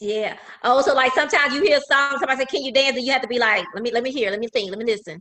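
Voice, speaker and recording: Projecting her raised voice, a woman speaks very fast with lively intonation at a high pitch. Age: 50s. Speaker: talk show host. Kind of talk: interview conversation. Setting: at home.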